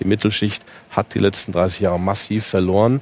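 The delivery is flat and monotone. The pace is fairly quick. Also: man. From Germany, Eifel. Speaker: economist.

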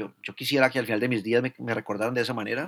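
Here is a normal speaking voice at a fairly quick pace. The recording is very clean, with a silent background. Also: man. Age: 40s. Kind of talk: casual conversation.

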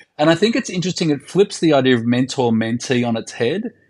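Lively in intonation, a man with an Australian accent talks at a fairly quick pace. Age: 50s. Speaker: podcast co-host. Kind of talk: casual chat.

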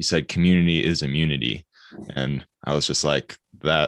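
Very deep and low in pitch, a man speaks with an American accent, vocal fry and fairly even intonation at a moderate pace. The recording is very clean and silent behind him, with a dry, close sound and no echo. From Michigan. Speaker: podcast host. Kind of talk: casual interview chat.

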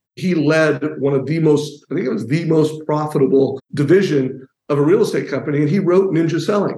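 A man talks at a fairly quick pace with hardly any pauses, his fairly high voice somewhat breathy. The tone is dark and mellow, with ordinary pitch variation. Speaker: mortgage industry founder. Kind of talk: casual promotional chat.

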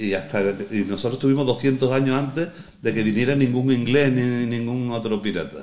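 A man at medium pitch, with audible room echo. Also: ordinary pitch variation, moderate pace. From Andalusia, El Puerto de Santa María (Cádiz). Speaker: veteran sailor. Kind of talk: casual interview chat. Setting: on location at a foundation in a marina.

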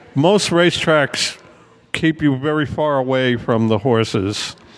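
Over noticeable background noise, a man with an American accent speaks at a fairly slow pace in a fairly high voice, with ordinary pitch variation and very even loudness. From Brooklyn, New York. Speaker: music and sports journalist. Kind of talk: casual chat.

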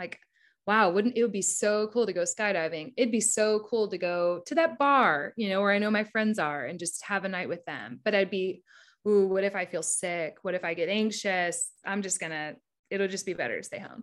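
On a very clean recording with a silent background, a woman with a normal speaking voice talks at medium pitch and a moderate pace, with ordinary pitch variation. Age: 30s. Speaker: advertising creative director. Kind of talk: interview.

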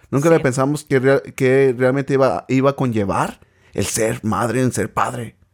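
A man is speaking at a moderate pace. His pitch varies in an ordinary way. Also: medium pitch for a man. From Mexico, Michoacán. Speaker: podcast host, parent. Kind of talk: casual chat.

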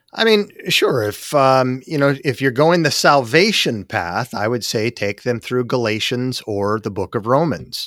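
With an American accent, a man has an ordinary speaking voice and speaks at a fairly slow pace, with lively intonation and hardly any pauses. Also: medium pitch for a man. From Utah, Salt Lake City. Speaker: apologetics ministry president. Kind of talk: interview.

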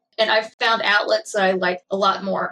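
A woman speaks with a Kentucky accent. Her pace is moderate. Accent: southern US (Kentucky). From Kentucky, small town. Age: 20s. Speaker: former firefighter and EMT, patient. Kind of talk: interview.

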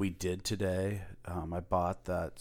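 Speaking with an American accent, a man uses a very deep, low pitch. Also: very clean recording, silent background. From US Pacific Northwest. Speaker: podcast co-host. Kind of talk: casual chat.

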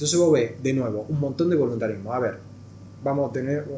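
A man talks at a medium pitch with ordinary pitch variation. Audible room echo surrounds his voice. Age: 40s. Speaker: NGO executive director, former hockey player. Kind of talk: interview.

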